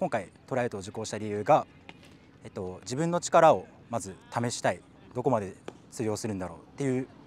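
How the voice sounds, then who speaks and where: Speaking at a fairly quick pace with long, frequent pauses, a man uses lively intonation and big swings in loudness, in dry sound with no echo. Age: 20s. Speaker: office worker and glove maker, tryout applicant. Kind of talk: group interview. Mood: earnest, slightly nervous. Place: open country.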